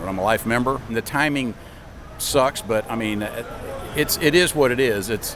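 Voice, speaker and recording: A man speaks at medium pitch and a moderate pace with ordinary pitch variation. Noticeable background noise runs behind him. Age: 60s. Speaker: NRA member at gun convention. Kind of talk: street interview.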